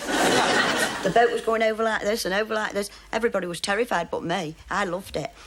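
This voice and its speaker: Noticeable background noise accompanies a woman with a fairly high pitch. She speaks with ordinary pitch variation and hardly any pauses. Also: fairly quick pace. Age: 50s. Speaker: dating show contestant. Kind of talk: recorded interview segment recounting a date.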